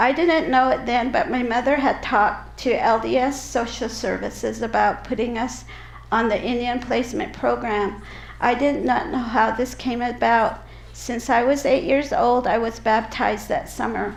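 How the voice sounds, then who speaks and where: A woman with a slight Utah accent talks at a moderate pace. The recording has noticeable background noise and audible room echo. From Navajo reservation, New Mexico, raised partly in Utah foster homes. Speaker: public speaker on healing and advocacy. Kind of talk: personal testimony talk.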